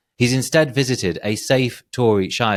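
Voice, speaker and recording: On a very clean recording with a silent background, a man talks with a North Yorkshire accent. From northern England, North Yorkshire. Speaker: political polling analyst. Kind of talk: podcast discussion. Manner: hesitant, with false starts.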